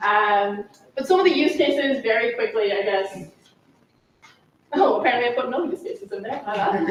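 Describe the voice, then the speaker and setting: With audible room echo, a woman speaks fairly quickly at a high pitch, her voice swinging very widely with long, frequent pauses. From Ireland. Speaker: tech consultant and conference speaker. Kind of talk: conference talk. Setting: stage with audience. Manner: fast; animated.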